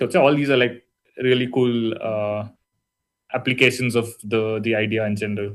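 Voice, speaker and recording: A man with a strong Indian accent speaks at a moderate pace and medium pitch, with fairly even intonation. His delivery has long, frequent pauses. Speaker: university lecturer. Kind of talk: lecture. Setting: online session. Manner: casual, hesitant with fillers.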